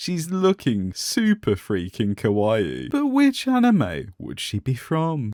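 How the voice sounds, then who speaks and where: A man talks at a very slow pace with a British accent. The sound is dry and close, with no echo. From Britain. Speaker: toy unboxing youtuber. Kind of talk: comedic unboxing commentary.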